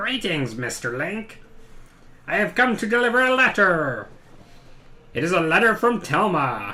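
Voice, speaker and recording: Put-on character voice from a man at high pitch, with very wide pitch swings, moderate pace, long, frequent pauses and faint music in the background. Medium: game stream. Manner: formal, pompous.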